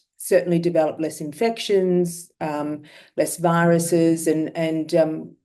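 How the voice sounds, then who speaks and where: Fairly low in pitch, a woman speaks with an Australian accent and a dark, mellow tone. Her intonation is fairly even and her pace fairly slow. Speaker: myeloma patient. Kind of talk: testimony.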